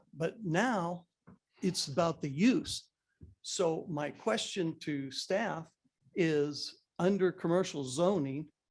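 A man with an ordinary speaking voice talks at a fairly high pitch. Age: 60s. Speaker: public commenter at town council meeting, retired builder. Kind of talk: public comment at council meeting.

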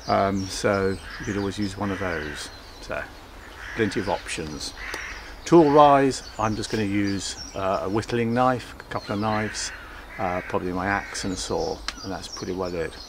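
A man with a fairly low voice talks at a moderate pace with ordinary pitch variation. The sound is dry with no echo, though noticeable background noise is present. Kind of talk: tutorial. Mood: relaxed, cheerful. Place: garden.

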